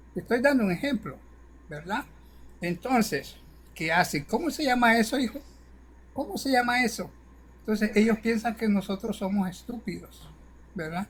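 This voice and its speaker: Speech at a moderate pace, broken by long, frequent pauses. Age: 60s. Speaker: caller to a political livestream. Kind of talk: casual chat.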